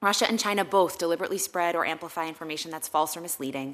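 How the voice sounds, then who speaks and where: Very fast speech comes from a woman with a fairly low pitch. Her tone is bright and sharp, with ordinary pitch variation. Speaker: policy expert witness. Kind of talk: prepared testimony. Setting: Senate hearing room.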